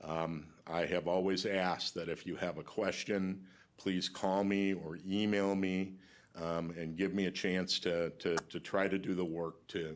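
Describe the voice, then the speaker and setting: Monotone, flat intonation at a fairly slow pace. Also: man, very deep, low pitch for a man, very clean recording, silent background. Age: 60s. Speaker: county lawyer. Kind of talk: farewell speech at public meeting. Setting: county board meeting room. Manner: halting, many fillers.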